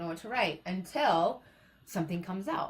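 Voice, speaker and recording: A woman speaks in a normal speaking voice at medium pitch. Her intonation is lively. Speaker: motivational speaker. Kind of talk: live-stream talk. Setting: live stream.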